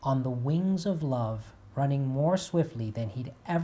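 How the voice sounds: A natural reading voice carries the clip. It stays that way from start to finish.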